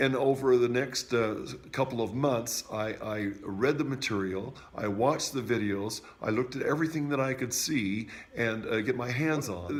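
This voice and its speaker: A medium-pitched male voice at a moderate pace, with ordinary pitch variation and noticeable background noise. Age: 60s. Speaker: music teacher sharing product testimony. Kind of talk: testimony. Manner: halting, frequent fillers.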